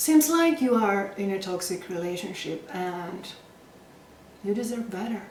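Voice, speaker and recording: Amid noticeable background noise and audible room echo, a woman with a Greek accent speaks very slowly at medium pitch with lively intonation. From Greece. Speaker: late-night comedy show host. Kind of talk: scripted comedy monologue. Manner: animated.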